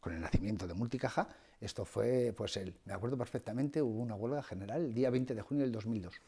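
Against a quiet background, a man talks at a very fast pace. His tone is dark and mellow, with ordinary pitch variation. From Spain, Soria (Ágreda); Soria, Spain. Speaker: bank executive; interview guest. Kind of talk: TV interview. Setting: TV studio. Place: studio. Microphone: lapel.

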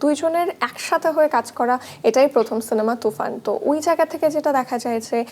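Noticeable background noise behind ordinary pitch variation. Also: woman. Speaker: TV entertainment show host. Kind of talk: interview. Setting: studio.

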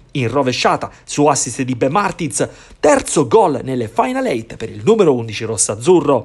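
This man's voice is somewhat breathy and dramatic in tone, with very wide pitch swings. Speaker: sports commentator. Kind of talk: sports highlights commentary, voiced over match footage. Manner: fast, animated play-by-play, rising on goals and near-misses; polished, dramatic narration with vivid verbs.

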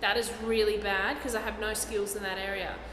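Audible room echo and light background noise around a woman's voice of ordinary pitch variation. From Brisbane, Australia. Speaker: stand-up comedian. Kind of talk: interview answer. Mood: jokey, relaxed. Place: hall.

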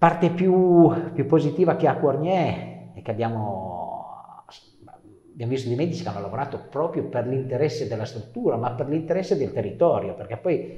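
A man talks at a moderate pace and a fairly high pitch, with lively intonation and big swings in loudness. There is audible room echo. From northern Italy, Canavese (Piedmont); Piedmont, Italy. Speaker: regional councillor. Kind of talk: interview. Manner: halting, repeats words. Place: studio. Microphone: lapel.

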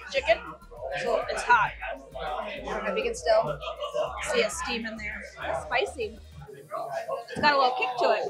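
With music in the background, a woman speaks at a moderate pace, leaving long, frequent pauses. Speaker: food vlogger. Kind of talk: casual vlog chat. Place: bar. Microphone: phone near.

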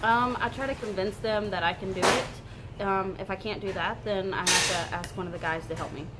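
Loud background noise runs under speech that has hardly any pauses. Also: woman, ordinary pitch variation, fairly quick pace. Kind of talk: interview answer. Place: shop. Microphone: camera far.

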